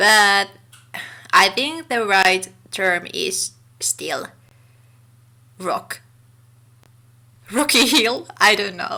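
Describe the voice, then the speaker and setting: Speaking very slowly with long, frequent pauses, a woman with a Finnish accent uses a medium pitch, a bright, sharp tone and lively intonation. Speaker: gaming YouTuber. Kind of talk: casual voiceover commentary.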